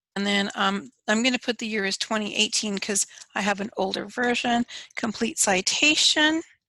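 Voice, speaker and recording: At a moderate pace, a woman with a fairly high pitch and a bright, sharp tone speaks with ordinary pitch variation in a dry, close sound with no echo. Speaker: teacher. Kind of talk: tutorial.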